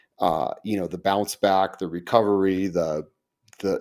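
Here is a man with an American accent and an ordinary speaking voice. His pitch sits fairly low, with fairly even intonation. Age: 50s. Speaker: podcast host and pastor. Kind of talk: casual interview.

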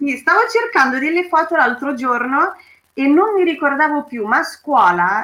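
A woman with a Romanian accent speaks in a raised, projected voice at a fairly slow pace. Her pitch is high and her tone bright and sharp. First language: Romanian (speaking Italian). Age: 30s. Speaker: cultural association member. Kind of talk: personal testimony.

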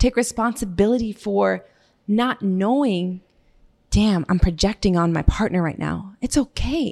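A woman's unremarkable speaking voice at medium pitch, in an American accent, with lively intonation at a fairly slow pace. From Massachusetts. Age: 30s. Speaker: model and podcaster. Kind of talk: casual chat.

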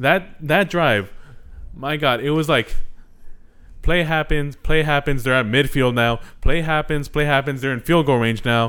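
The speech goes at a fairly slow pace with long, frequent pauses. Pitch variation is ordinary. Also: man, fairly high pitch for a man. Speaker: sports podcast host. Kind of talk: casual chat.

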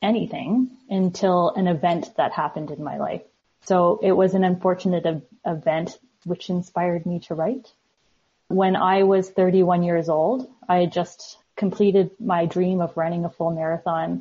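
Medium-pitched woman with a Canadian accent, somewhat breathy, at a moderate pace with fairly even intonation. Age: 40s. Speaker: author. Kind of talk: interview.

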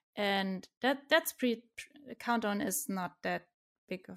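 With a German accent, a woman talks at a very slow pace and a fairly high pitch with ordinary pitch variation. The recording is very clean and the background silent. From Germany, Stuttgart (southwest). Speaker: software developer, freelancer. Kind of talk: casual interview chat.

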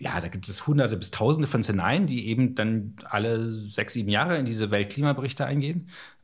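At a fairly quick pace, a man speaks with a fairly low pitch and ordinary pitch variation. His is an unremarkable speaking voice. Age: 40s. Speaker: climate scientist. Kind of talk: interview.

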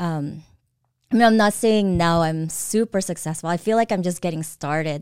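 A woman with an American accent has an unremarkable speaking voice, fairly low in pitch, with ordinary pitch variation at a moderate pace. The recording is very clean, with a silent background. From Southern California, US (from age 6, born Philippines). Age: 40s. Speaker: real estate entrepreneur. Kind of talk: casual interview.

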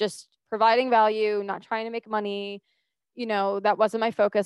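A woman with a plain, everyday voice and a fairly high pitch talks fairly quickly, with a quiet background and a dry, close sound with no echo. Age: 20s. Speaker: podcast host and mindset coach. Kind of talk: solo podcast monologue. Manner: casual, conversational.

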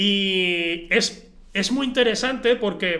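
Raising and projecting his voice, a man speaks at a high pitch in a bright, sharp tone with ordinary pitch variation. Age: 20s. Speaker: film podcast host. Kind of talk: casual chat. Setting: home recording with camera.

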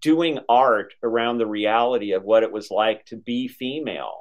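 The speaker moves at a moderate pace with ordinary pitch variation. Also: man. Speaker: author and esoteric historian. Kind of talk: interview conversation. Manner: articulate, practiced speaker.

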